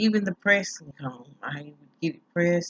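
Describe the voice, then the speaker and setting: A woman's fairly low voice at a fairly slow pace, with ordinary pitch variation and a dry, close sound with no echo. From US South, rural Tennessee. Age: 50s. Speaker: hair vlogger. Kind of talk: casual vlog monologue. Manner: casual, hesitant with many fillers.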